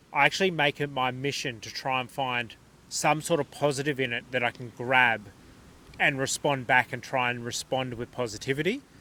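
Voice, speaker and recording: A man with an Australian accent talks at a moderate pace, his medium-pitched voice bright and sharp and his intonation fairly even. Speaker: podcast host. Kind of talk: casual chat. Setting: caravan park.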